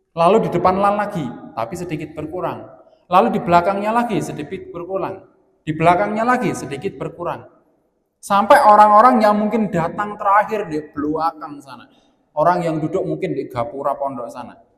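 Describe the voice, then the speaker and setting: Here a man speaks with a high pitch and lively intonation at a fairly quick pace. Room echo is audible. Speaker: Islamic preacher. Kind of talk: religious lecture.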